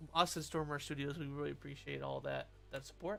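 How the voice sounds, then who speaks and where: Fairly quick, mumbling speech from a man, with music in the background. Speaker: game developer streamer. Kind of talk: live stream chat while working. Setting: live stream. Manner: halting.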